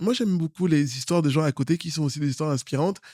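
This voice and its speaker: Over a very clean recording with a silent background, a man talks at a very fast pace in a fairly high pitch. His tone is animated, with ordinary pitch variation. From Cameroon. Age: 30s. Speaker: politician. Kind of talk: interview. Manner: hesitant, many fillers.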